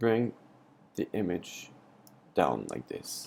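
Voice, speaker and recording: With a French accent, a man speaks in a dark, mellow tone with lively intonation. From France. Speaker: photography tutor. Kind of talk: tutorial. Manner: hesitant, many fillers.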